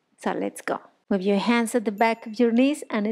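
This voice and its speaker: A woman speaks with fairly even intonation against a quiet background. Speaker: yoga instructor. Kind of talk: guided yoga instruction. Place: home room.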